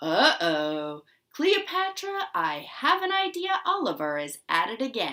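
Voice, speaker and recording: Putting on a character voice, a woman speaks at a high pitch and a fairly slow pace. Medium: read story. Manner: warm, jokey.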